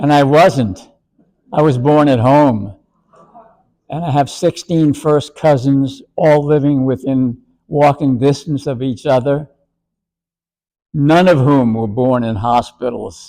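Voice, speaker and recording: Speaking at a very slow pace with long, frequent pauses, a man has a dark, mellow tone. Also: fairly high pitch for a man, ordinary pitch variation. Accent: New York. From New York City (the Bronx). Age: 90s. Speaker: retirement home resident. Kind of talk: interview.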